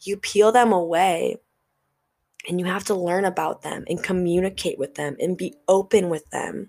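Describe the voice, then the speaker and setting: A woman talks at a moderate pace with a medium pitch. Her tone is animated. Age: 20s. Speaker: podcast host. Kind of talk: motivational monologue.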